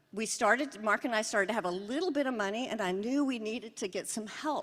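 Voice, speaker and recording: A woman's fairly high voice in a Southern US accent, at a moderate pace with lively intonation. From US Pacific Northwest, Seattle. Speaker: psychiatrist. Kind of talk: award lecture. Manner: casual, conversational.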